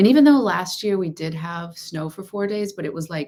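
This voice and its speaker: A woman with an American accent and a fairly low pitch, with music in the background. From Texas. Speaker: law of assumption coach. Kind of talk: livestream chat. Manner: loud.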